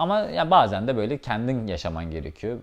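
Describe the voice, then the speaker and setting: A man speaks against a quiet background. His pitch swings very widely. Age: 20s. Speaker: travel vlogger. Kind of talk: casual vlog, house tour and Q&A. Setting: at home. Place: home room. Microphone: lapel.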